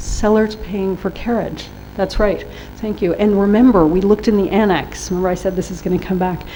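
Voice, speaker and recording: A woman's medium-pitched voice at a fairly quick pace, fairly even in intonation, with audible room echo and noticeable background noise. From US, New York. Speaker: workshop trainer on trade rules. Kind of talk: lecture.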